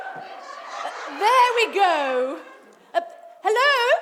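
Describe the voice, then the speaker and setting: Squeaky, put-on character voice from a woman, extremely high-pitched, at a fairly slow pace. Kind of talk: pantomime villain overacting. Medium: stage play. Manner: haughty, impatient.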